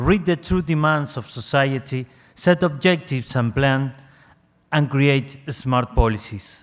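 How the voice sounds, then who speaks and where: On a very clean recording with a silent background, a man with a Spanish accent speaks fairly slowly at a fairly high pitch. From Argentina. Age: young. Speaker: civil society delegate. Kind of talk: prepared statement read aloud. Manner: reading from script.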